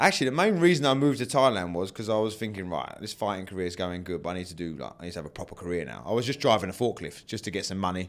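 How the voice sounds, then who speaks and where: A man with a British accent talks at a very fast pace with hardly any pauses, his animated delivery full of lively intonation and big swings in loudness, on a very clean recording with a silent background. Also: fairly low pitch for a man. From England. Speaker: martial arts fighter and coach. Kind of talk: interview. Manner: casual, animated.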